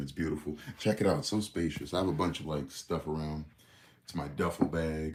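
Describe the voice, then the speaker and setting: A man with an American accent and a very deep, low pitch moves at a fairly quick pace. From Connecticut, New England. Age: 20s. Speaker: livestreamer and content creator. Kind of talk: casual livestream chat. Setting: livestream from a guest room at family home.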